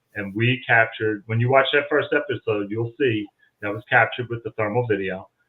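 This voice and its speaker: A man uses a normal speaking voice with fairly even intonation at a moderate pace. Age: 60s. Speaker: paranormal investigator. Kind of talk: casual chat.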